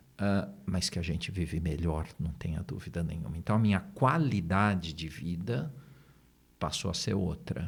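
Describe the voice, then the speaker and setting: Somewhat breathy, a man speaks at a moderate pace. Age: 60s. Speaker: therapist and neurolinguistic programming trainer. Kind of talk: podcast interview.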